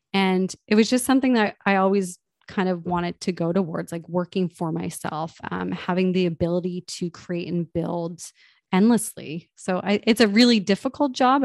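An ordinary speaking voice from a woman, fairly low-pitched and fairly quick, with ordinary pitch variation, a dry, close sound with no echo and a quiet background. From Nova Scotia, Canada. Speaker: construction tech co-founder. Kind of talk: interview.

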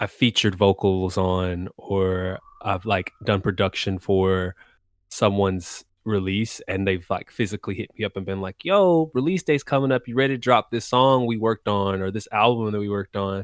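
A man with an American accent speaks in a plain, everyday voice at a fairly low pitch, a moderate pace and with ordinary pitch variation. The recording is very clean with a silent background and a dry, close sound with no echo. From Texas. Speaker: music producer and singer. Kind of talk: casual interview chat.

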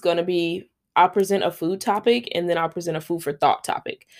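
A woman speaks with an American accent at medium pitch. Her pace is fairly quick. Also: very clean recording, silent background. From Los Angeles, South Central. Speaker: podcast host, food inspector. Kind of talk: casual solo monologue. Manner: rambling, filler-heavy, casual.

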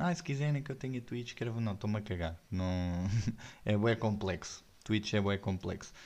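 A man talks at a fairly quick pace with a European Portuguese accent. The background is quiet. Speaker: podcast host and stand-up comedian. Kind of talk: stand-up comedy.

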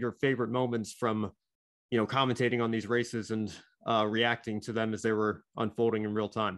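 A man's plain, everyday voice with an American accent, medium pitch and a fairly quick pace. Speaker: podcast host. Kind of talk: casual interview.

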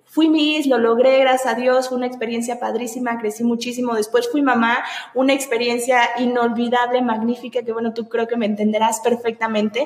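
Over noticeable background noise, a woman talks at a fairly quick pace with a high pitch, monotone, flat intonation and hardly any pauses. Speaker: podcast host. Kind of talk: casual interview.

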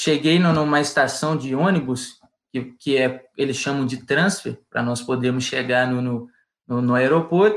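A man at a fairly slow pace, medium pitch and ordinary pitch variation, with an unremarkable speaking voice. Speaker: university student. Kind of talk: casual chat, storytelling.

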